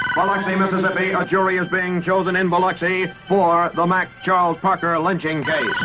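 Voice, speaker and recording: Over music in the background, a man with a high pitch uses a raised, projected voice, speaking at a fairly quick pace with hardly any pauses, monotone, flat intonation and very even loudness. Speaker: radio newscaster. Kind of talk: 1950s radio newscast read. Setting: vintage AM radio aircheck.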